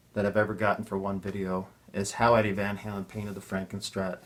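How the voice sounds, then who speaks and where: A man with an Ontario accent. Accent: Canadian English (Ontario). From Ontario, Canada. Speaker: guitar builder and YouTuber. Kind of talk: casual chat. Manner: halting, many fillers and repeats.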